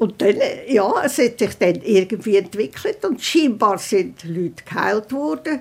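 Very wide pitch swings in the fairly high voice of a woman. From Central Switzerland, Rigi. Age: 90s. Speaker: eyewitness, hotelier's granddaughter. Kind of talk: interview recollection.

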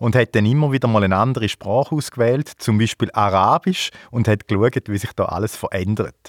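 Recorded very cleanly against a silent background, with a dry, close sound and no echo, a man uses a normal speaking voice at a moderate pace with lively intonation. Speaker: podcast host. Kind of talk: casual chat. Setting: at a guest's home.

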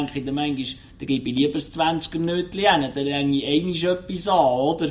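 A man's delivery moves at a moderate pace with ordinary pitch variation in an unremarkable speaking voice. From Switzerland, canton of Lucerne. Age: 40s. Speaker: truck driver. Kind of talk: interview.

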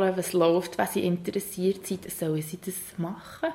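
Over noticeable background noise, a woman speaks at a moderate pace in a flat, monotone delivery. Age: 20s. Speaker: social worker in a children's home. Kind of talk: interview. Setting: indoors with open windows.

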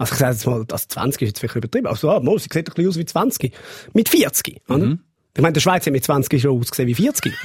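A man's fairly high voice at a very fast pace. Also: lively intonation. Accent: Swiss. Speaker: podcast host. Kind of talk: casual chat podcast.

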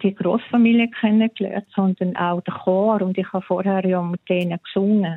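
The speaker here is a woman. She delivers her words in a flat, monotone way. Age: middle-aged. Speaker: listener guest. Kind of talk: interview.

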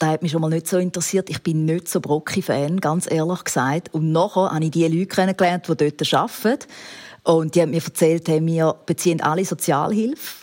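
A woman speaks at a fairly quick pace with fairly low pitch. The sound is dry and close, with no echo. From rural Switzerland. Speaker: TV documentary presenter. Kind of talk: interview. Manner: animated.

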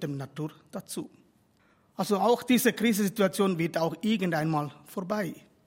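A man speaks in a Tamil accent at a moderate pace. His pitch sits high. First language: Tamil (speaking German). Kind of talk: religious address.

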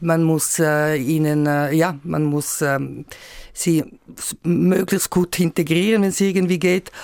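At a fairly slow pace, a woman talks in a fairly low voice with ordinary pitch variation. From Switzerland, Graubünden. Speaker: member of national parliament. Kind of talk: radio political discussion. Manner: halting.

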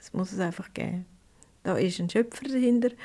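At a medium pitch, a woman talks at a moderate pace in a dark, mellow tone with ordinary pitch variation. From Switzerland, Prättigau (Graubünden). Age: 70s. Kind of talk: interview testimony.

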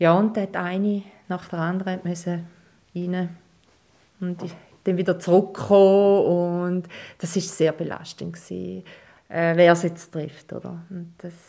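Speaking with a dark, mellow tone at a fairly low pitch, a woman keeps a monotone, flat intonation, with big swings in loudness and long, frequent pauses. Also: fairly slow pace, very clean recording, silent background. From eastern Switzerland, St. Gallen. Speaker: bookkeeper. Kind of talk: interview.

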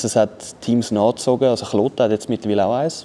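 With a dark, mellow tone, a man of medium pitch speaks at a moderate pace. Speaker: esports ice hockey player, former ice hockey goalie. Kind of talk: casual chat. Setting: studio.

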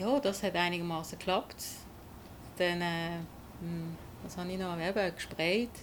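With long, frequent pauses, a woman with a fairly low pitch talks at a moderate pace and fairly even intonation. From Basel, Switzerland. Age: 40s. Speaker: rapper. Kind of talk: interview.

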